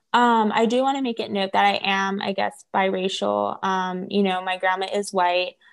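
A woman with an American accent speaks at medium pitch and a moderate pace, her intonation fairly even and her delivery almost free of pauses. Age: 20s. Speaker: tarot reader and writer. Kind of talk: interview conversation. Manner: hesitant, many fillers.

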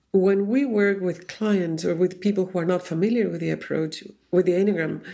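Fairly even intonation at a moderate pace, in a Chilean Spanish accent. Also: woman. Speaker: Enneagram teacher. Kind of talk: casual chat.

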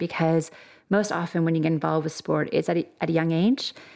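At a fairly quick pace, a woman with an unremarkable speaking voice talks in a fairly low pitch. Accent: Canadian. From Canada. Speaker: sport psychologist and academic. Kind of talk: interview. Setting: studio.

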